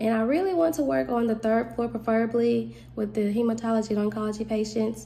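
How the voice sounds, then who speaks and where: A woman talks very fast, with hardly any pauses, in a Southern US accent. Her fairly high voice has a dark, mellow, somewhat breathy tone and lively intonation. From US South, Mississippi. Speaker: nursing student. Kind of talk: self-introduction video. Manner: casual, giggly. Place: home room. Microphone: phone near.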